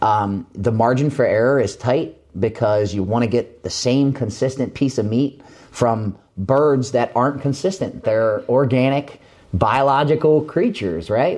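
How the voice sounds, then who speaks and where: In an ordinary speaking voice, a man of medium pitch talks at a fairly slow pace with ordinary pitch variation. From Maryland, suburbs of Baltimore. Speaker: agricultural company community relations manager. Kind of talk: interview.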